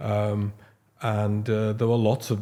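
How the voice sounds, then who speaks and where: A man speaks with a fairly low pitch and a dark, mellow tone in monotone, flat intonation. The recording is very clean with a silent background. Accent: Liverpool. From Liverpool, England. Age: 60s. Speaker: paediatric haematologist. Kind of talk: podcast interview. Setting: studio sofa. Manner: halting, with fillers and restarts.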